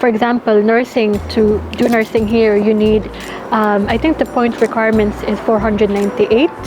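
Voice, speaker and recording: Over noticeable background noise, the delivery holds a moderate pace, a flat monotone and very even loudness. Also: woman, fairly high pitch for a woman. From Ireland. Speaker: nursing student. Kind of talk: interview; vlog narration. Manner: code-switching Taglish.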